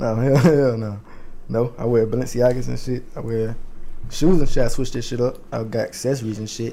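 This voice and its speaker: Speaking with an American accent, a man with a medium pitch and a dark, mellow tone talks at a moderate pace with fairly even intonation, and the room echo is audible. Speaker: clothing designer. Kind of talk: casual chat.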